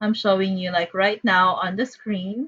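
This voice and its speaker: A woman is speaking here. She has a strong Filipino accent. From Philippines. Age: 30s. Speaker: math teacher. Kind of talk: online class instructions. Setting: Zoom video call. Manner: casual with many fillers.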